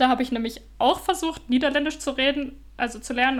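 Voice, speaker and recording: A woman's voice with ordinary pitch variation. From Germany. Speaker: podcaster living abroad. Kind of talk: casual chat.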